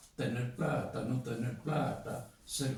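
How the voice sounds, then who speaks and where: A man speaks at a very slow pace in a dark, mellow tone with vocal fry. Audible room echo is present. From Argentina, Mendoza. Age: 80s+. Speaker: poet and filmmaker. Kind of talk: interview.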